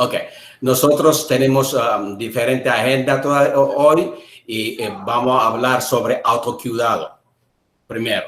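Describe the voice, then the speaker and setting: In an Ethiopian accent, a man speaks with audible room echo. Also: moderate pace. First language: Amharic. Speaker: interpreter. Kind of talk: live interpreting; self-introduction. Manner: halting.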